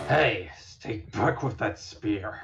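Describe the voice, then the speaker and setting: Putting on a character voice, a man sounds raspy at a fairly low pitch. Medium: audio drama. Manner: snarling.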